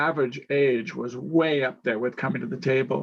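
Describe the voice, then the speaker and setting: The man's pitch moves in an ordinary way. It sits in the medium range. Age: 60s. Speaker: panel moderator. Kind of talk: panel discussion.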